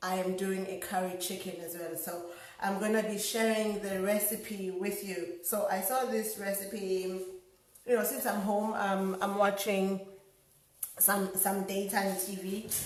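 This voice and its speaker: Against noticeable background noise and audible room echo, a woman speaks at a fairly slow pace with a medium pitch and monotone, flat intonation. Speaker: home cook vlogger. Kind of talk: cooking tutorial. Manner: casual, many fillers.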